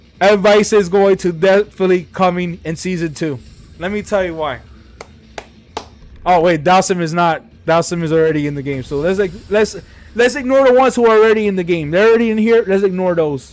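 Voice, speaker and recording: Noticeable background noise behind a man's high-pitched voice, at a fairly quick pace with ordinary pitch variation. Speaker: gaming YouTuber. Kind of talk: casual commentary video. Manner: rambling, halting with fillers.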